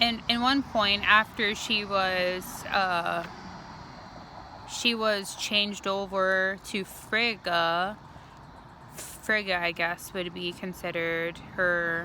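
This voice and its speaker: A woman's medium-pitched voice with a bright, sharp tone, fairly even intonation and a very slow pace. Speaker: spiritual video creator. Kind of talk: casual monologue vlog. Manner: halting, self-correcting.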